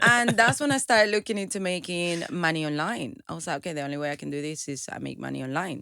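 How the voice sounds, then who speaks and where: A woman with a Venezuelan accent speaks very fast with hardly any pauses, her fairly low voice bright and sharp in tone, with very wide pitch swings. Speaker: entrepreneur and motivational speaker. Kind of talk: interview. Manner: halting, many repetitions.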